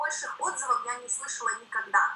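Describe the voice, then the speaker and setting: A woman speaks in a raised, projected voice with very wide pitch swings. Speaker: network marketing director. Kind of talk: seminar talk. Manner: fast.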